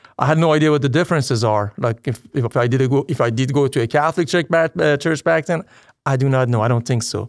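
On a very clean recording with a silent background, a man with a slight Persian accent speaks at a very fast pace, his medium pitch showing ordinary variation and his loudness very even. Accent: light Persian-accented English. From Iran. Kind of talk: conversion testimony interview. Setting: church parish.

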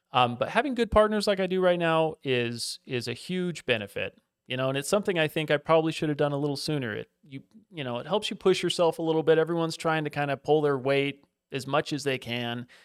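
Speaking at a very fast pace, a man with a fairly high pitch uses ordinary pitch variation, and the sound is dry and close with no echo. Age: 40s. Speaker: hedge fund and private equity investor. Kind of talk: interview. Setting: studio.

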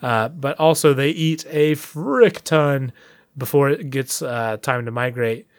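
Here is a man with an unremarkable speaking voice. His pitch is fairly high, with ordinary pitch variation. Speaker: podcast co-host. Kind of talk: casual chat. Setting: remote call, far apart.

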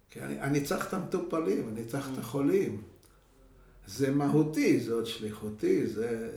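This man talks at a moderate pace in a fairly high pitch, with very wide pitch swings and big swings in loudness. The recording has audible room echo and noticeable background noise. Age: 70s. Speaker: geriatrician and professor. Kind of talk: interview. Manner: halting.

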